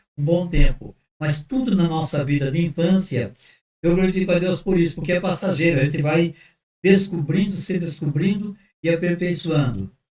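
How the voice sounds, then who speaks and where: This man has a high pitch and a dark, mellow tone, speaking at a moderate pace with ordinary pitch variation. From Brazil, Sorocaba (São Paulo state). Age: 70s. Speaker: pastor. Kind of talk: casual chat.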